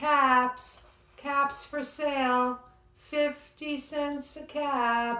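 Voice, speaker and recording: Put on as a character voice, the speech moves at a very slow pace with monotone, flat intonation. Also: woman, high pitch for a woman. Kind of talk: kindergarten read-aloud. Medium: read story.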